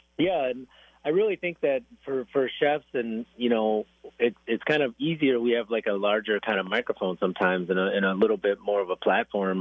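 A man with an Upper Midwest accent, at a fairly quick pace. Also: medium pitch for a man. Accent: Upper Midwest American. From Wisconsin (Racine). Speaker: chef and restaurant owner. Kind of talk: casual radio interview. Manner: halting, many repetitions and fillers.

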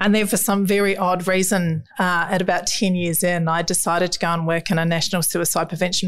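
With a New Zealand accent, a woman talks at a very fast pace in a fairly low pitch and a monotone, flat intonation. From New Zealand, rural South Island. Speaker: children's mental health charity founder. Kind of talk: interview.

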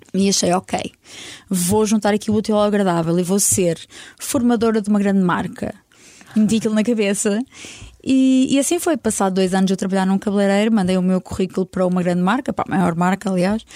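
At a fairly quick pace, a woman speaks in a dark, mellow tone at a medium pitch, her loudness very even and her pitch varying in an ordinary way. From northern Portugal, Vila Real. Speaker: hair colourist. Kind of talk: casual interview.

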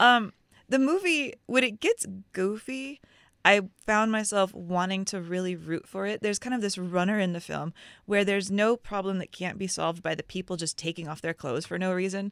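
A woman with a normal speaking voice, medium pitch and ordinary pitch variation, at a moderate pace, dry and close with no echo, on a very clean recording with a silent background. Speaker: film critic. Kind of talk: film review discussion.

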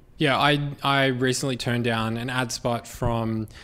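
At medium pitch and a fairly slow pace, a man with an Australian accent speaks in a flat monotone on a very clean recording with a silent background. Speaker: podcast producer and host. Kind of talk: live keynote Q&A. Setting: stage with audience.

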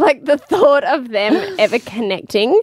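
A woman's animated voice with very wide pitch swings, dry and close with no echo. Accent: Australian. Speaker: podcast host. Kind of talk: casual chat. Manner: animated, laughing a lot.

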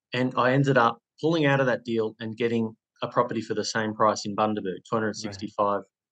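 This man speaks with an Australian accent. His intonation stays fairly even. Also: medium pitch for a man, fairly quick pace. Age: 30s. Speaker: former prisoner turned property investor and coach. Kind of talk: interview, personal story.

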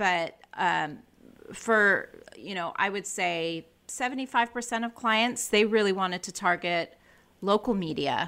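Delivered at a fairly slow pace in a Californian accent, the voice has a bright, sharp tone and ordinary pitch variation, recorded very cleanly over a silent background. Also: woman, medium pitch for a woman. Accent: American, Californian. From California, US. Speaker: communications director. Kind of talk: interview, casual chat. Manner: chatty, sociable.

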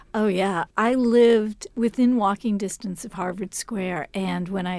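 A plain, everyday voice from a woman at a medium pitch, fairly slow, with ordinary pitch variation, on a very clean recording with a silent background. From Cambridge, Massachusetts. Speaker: novelist. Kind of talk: interview.

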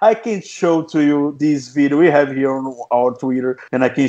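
A man's dark, mellow voice at medium pitch, with a Portuguese accent, at a moderate pace. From Brazil. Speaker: podcast host. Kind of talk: podcast interview. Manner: halting.

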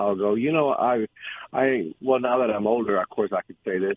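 The speaker uses an unremarkable speaking voice, with ordinary pitch variation and a moderate pace. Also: man. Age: 60s. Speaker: caller. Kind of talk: casual chat. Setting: phone call.

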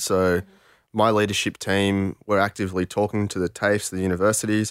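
Fairly quick speech in an Australian accent, dry and close with no echo, on a very clean recording with a silent background. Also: man. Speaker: podcast host, reformed hacker. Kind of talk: podcast discussion.

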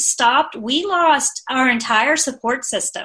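A woman with a high pitch uses a raised, projected voice and a bright, sharp tone, speaking at a very slow pace. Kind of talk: casual chat.

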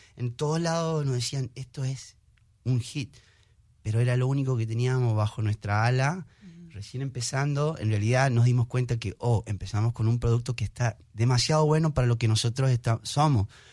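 Nothing but the man's voice comes through on this very clean recording with a silent background. His voice is somewhat breathy. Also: medium pitch for a man, ordinary pitch variation, moderate pace. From Argentina. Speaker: singer, musician. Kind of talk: interview.

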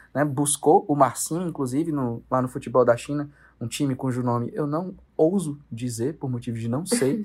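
With a normal speaking voice, a man talks at a fairly high pitch using lively intonation. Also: moderate pace. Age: 20s. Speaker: sports TV producer and presenter. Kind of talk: casual sports chat.

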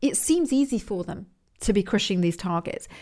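In a very clean recording with a silent background, a woman with an English accent speaks at a moderate pace with lively intonation. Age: 40s. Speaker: podcast host, business coach. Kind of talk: motivational monologue. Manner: casual, conversational.

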